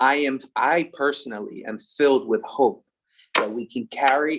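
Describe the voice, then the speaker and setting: A man speaks with a strong Philadelphia accent at medium pitch. His pace is moderate, and his pitch varies in an ordinary way. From US, Philadelphia. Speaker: religious brother, event co-host. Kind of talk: closing remarks of online event. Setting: Zoom call.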